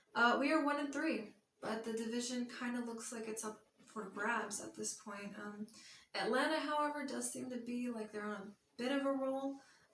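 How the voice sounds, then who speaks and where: This woman has a fairly high pitch and ordinary pitch variation. She talks at a moderate pace. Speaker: sports vlogger. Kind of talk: casual monologue. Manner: hesitant with fillers.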